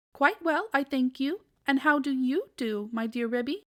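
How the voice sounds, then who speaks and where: A woman uses a put-on character voice with a high pitch at a moderate pace. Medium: read story. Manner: polite, flustered.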